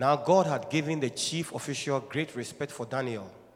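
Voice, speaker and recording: Speaking at a moderate pace, a man with a fairly high pitch uses ordinary pitch variation in a plain, everyday voice. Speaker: scripture reader. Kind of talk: reading aloud. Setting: church.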